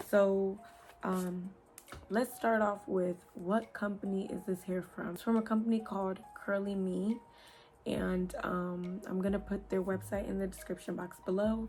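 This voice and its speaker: A woman has an unremarkable speaking voice, medium in pitch, with fairly even intonation at a fairly slow pace. Light background noise sits behind her. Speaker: beauty YouTuber, hair reviewer. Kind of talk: product review vlog. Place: home room. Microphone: phone near.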